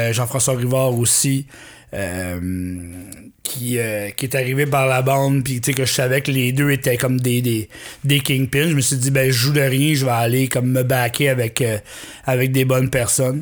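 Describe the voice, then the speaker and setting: A man speaks in a plain, everyday voice at medium pitch. His pace is fairly slow and his intonation fairly even. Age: 40s. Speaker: musician. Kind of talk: casual chat.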